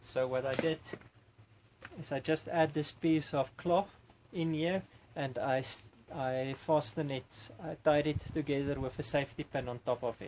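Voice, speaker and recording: This man has a fairly high pitch and fairly even intonation. He speaks at a moderate pace. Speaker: homesteader, product reviewer. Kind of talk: product review. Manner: halting, many fillers.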